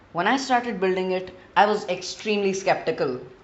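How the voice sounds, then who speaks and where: The speaker, with an Indian accent, goes at a moderate pace. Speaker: gaming video creator. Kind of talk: gameplay narration.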